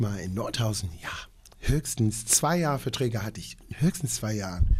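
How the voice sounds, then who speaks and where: A man's somewhat breathy voice moves through ordinary variations in pitch. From Long Island, New York. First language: English (speaking German). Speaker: opera singer. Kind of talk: interview.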